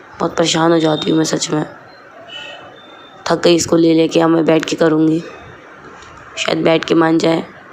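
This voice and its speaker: Amid noticeable background noise, a woman with a fairly low pitch speaks at a moderate pace in a monotone, flat way, with long, frequent pauses. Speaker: vlogger, mother. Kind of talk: casual daily vlog.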